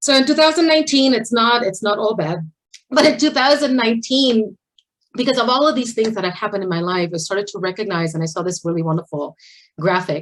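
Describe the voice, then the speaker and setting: A woman with a Spanish accent at a very fast pace, fairly high in pitch with very wide pitch swings. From Puerto Rico. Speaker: architect and equity director. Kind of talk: panel presentation.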